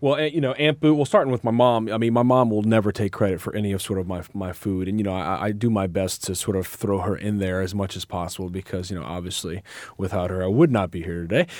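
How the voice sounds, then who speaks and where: Hardly pausing at all, a man talks. His pace is very fast. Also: fairly low pitch for a man, ordinary pitch variation. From New Orleans, Louisiana. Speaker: pastry chef and cookbook author. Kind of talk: interview. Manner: animated.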